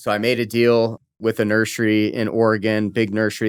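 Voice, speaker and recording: On a very clean recording with a silent background, a man speaks with an American accent. His pace is moderate. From California, US. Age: 30s. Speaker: real estate entrepreneur, podcast host. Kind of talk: casual podcast monologue.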